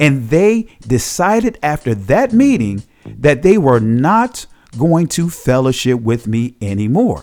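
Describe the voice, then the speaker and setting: Over background music, a man with a fairly high voice speaks at a fairly slow pace. His pitch swings very widely. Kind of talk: documentary narration.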